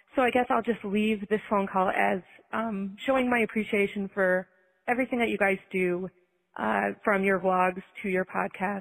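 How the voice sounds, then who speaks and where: A woman with an American accent and a plain, everyday voice speaks at a moderate pace with a medium pitch, fairly even intonation and very even loudness. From Minnesota. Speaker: listener caller. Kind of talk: recorded voicemail.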